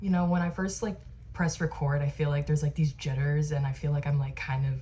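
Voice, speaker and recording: A woman with an American accent speaks with a very deep, low pitch. Her tone is dark, mellow and somewhat breathy. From Arizona. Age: 20s. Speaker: lifestyle vlogger. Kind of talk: casual chat. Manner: casual, filler-heavy (like, um).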